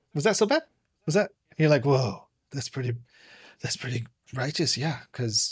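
This man has an American accent and a fairly high pitch. His voice is somewhat breathy, with lively intonation. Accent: American with slight British trace. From London, England, then California. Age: 40s. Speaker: guest author and course creator. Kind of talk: casual interview chat.

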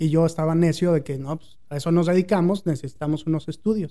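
Fairly quick and fairly even in intonation, the voice carries a dark, mellow tone. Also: man. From Mexico City. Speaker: advertising agency owner. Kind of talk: interview.

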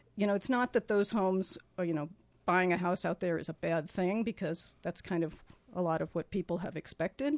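Over a quiet background, a woman talks at a fairly quick pace in a normal speaking voice, medium in pitch with ordinary pitch variation. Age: 60s. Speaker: planning commission member. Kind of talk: radio interview. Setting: studio.

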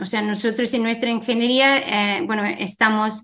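Speaking with an English accent, a woman uses a fairly high pitch and fairly even intonation. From Ireland. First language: English (speaking Spanish). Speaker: tech company co-founder and CEO. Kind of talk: interview. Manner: halting.

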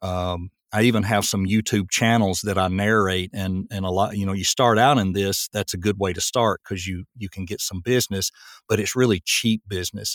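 A man with a Southern US accent speaks at a fairly low pitch and a moderate pace, with fairly even intonation and hardly any pauses, in a very clean recording with a silent background and a dry, close sound with no echo. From Tennessee. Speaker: voice actor. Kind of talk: casual interview.

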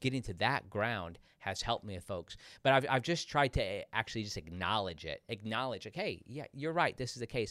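The man has a plain, everyday voice at a medium pitch. He talks at a moderate pace with lively intonation. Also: very clean recording, silent background. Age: 40s. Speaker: podcast host and pastor. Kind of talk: casual chat.

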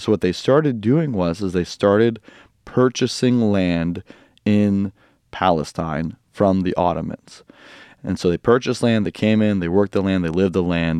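Speaking with a US Midwestern accent, a man has a fairly low pitch, ordinary pitch variation and a dark, mellow tone. The pace is moderate, and the sound is dry and close with no echo. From US Midwest, Quad Cities. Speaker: pastor and Bible teacher. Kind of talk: casual interview with teaching.

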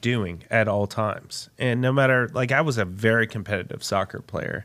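A man talks with an American accent. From Texas. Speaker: pitmaster and restaurant owner. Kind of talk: interview, faith testimony.

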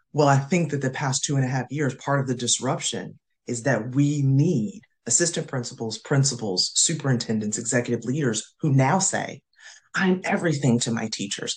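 In an American accent, a woman speaks with a very deep, low pitch, lively intonation, an animated tone and a somewhat breathy quality. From US South, North Carolina. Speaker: school administrator and professor. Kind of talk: casual interview.

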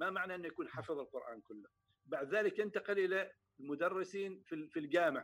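A man's high-pitched voice at a moderate pace, with ordinary pitch variation. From Oman, Samail. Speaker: poet and state council member. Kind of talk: interview.

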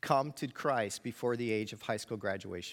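A man with an American accent and an unremarkable speaking voice talks at a moderate pace with ordinary pitch variation, on a very clean recording with a silent background. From New York. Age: 50s. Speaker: pastor and student ministry teacher. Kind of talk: sermon. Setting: church with audience.

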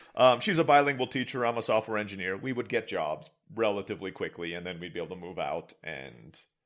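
A man's plain, everyday voice at a medium pitch with an American accent, fairly quick and lively in intonation. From Istanbul, Turkey. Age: 40s. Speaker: online entrepreneur. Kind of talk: casual interview.

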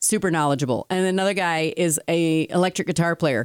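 An animated woman's voice, fairly low in pitch with ordinary variation, at a moderate pace, dry and close with no echo in a very clean recording with a silent background. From Italian-American heritage. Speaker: podcast co-host. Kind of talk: casual chat. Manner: animated, talks with hands.

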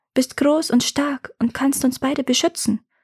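A woman's animated, gentle tone on a very clean recording with a silent background. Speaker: fairy tale narrator. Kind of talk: fairy tale narration, read aloud with character voices. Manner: hushed, atmospheric, slow and dreamy; animated, shifting between gentle and gruff character voices.

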